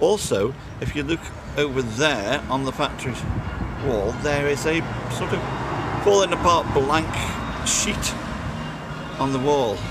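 Man speaking at a fairly slow pace with long, frequent pauses, dry sound with no echo, and loud background noise. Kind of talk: casual vlog chat. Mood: reflective, slightly wistful. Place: street. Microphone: phone near.

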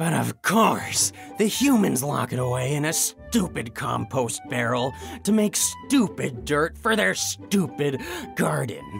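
A man's cartoonish character voice at medium pitch, with vocal fry, big pitch swings and a slow pace over faint music in the background.

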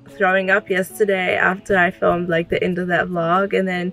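A woman's voice, dry with no echo, over faint background music. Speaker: vlogger. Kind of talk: casual vlog chat. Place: car. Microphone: phone near.

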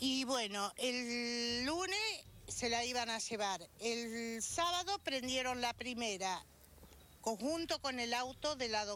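Over light background noise, a woman speaks very slowly in a high pitch with a bright, sharp tone. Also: dry sound with no echo. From Argentina. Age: 50s. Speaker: resident interviewed on street; witness. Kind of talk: news interview; interview answer. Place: street. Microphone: handheld.

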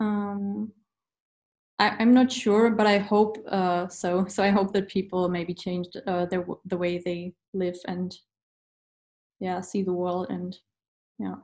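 Very slowly and in a flat monotone, a woman speaks with a German accent, leaving long, frequent pauses. The background is quiet. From Germany. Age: 20s. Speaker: university student. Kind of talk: interview. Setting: video call. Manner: halting. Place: home room. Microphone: webcam.

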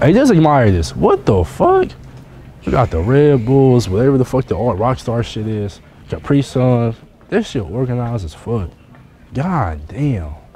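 A medium-pitched male voice with very wide pitch swings at a fairly slow pace, dry with no echo, over light background noise. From Cleveland, Ohio; Ohio. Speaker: YouTuber vlogger; vlogger. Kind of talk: casual vlog. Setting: in stores, out and about. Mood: loose, joking, profane. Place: shop. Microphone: camera far.

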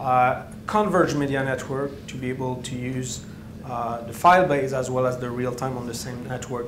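A man speaks at a moderate pace with medium pitch and fairly even intonation. Audible room echo surrounds his voice.

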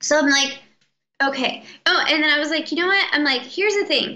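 A woman speaks in a raised, projected voice with a bright, sharp tone. Her pitch varies in an ordinary way. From Mexican-American background. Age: 20s. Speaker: chronic illness patient sharing recovery story; interview guest. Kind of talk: interview. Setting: call. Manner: animated. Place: home room. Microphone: video call.

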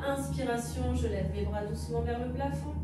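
A woman at a moderate pace, with clear music behind her and audible room echo. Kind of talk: exercise class instruction. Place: home room.

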